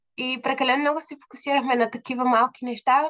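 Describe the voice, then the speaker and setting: The delivery moves at a fairly quick pace, with a dry, close sound and no echo. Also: woman. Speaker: university lecturer and business owner. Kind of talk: casual chat.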